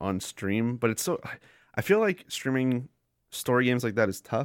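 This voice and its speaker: A man with an unremarkable speaking voice talks at a medium pitch and a fairly quick pace, with lively intonation. The very clean recording has a silent background and a dry, close sound with no echo. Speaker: podcast co-host. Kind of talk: casual chat.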